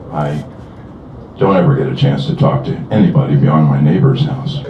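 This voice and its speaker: With audible echo in the room and noticeable background noise, a man's pitch rises and falls very widely. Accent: American. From US Midwest, Southern Illinois. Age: 60s. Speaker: retired software engineer, concerned citizen. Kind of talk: rally speech. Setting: outdoors.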